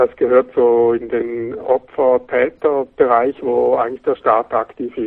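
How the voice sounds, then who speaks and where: A man talks at a very slow pace with hardly any pauses. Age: 40s. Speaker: magazine editor-in-chief. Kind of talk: interview.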